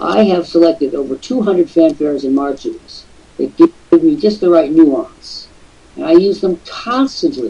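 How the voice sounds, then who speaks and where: This man talks at a moderate pace over noticeable background noise. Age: 60s. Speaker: online business show host. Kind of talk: live webcast talk. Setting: live online broadcast with camera. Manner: animated.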